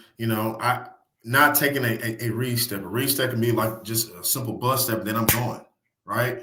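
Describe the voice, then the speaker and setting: A man talks at a moderate pace with a medium pitch. Room echo is audible. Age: 30s. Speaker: high school football coach. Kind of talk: casual podcast interview. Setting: studio. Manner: animated; repetitive filler, restarts.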